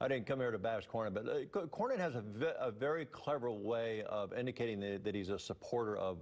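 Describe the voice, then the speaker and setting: With ordinary pitch variation, a man delivers his words at a very fast pace. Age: 60s. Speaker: political candidate. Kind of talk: TV interview. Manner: halting, many repeats and fillers.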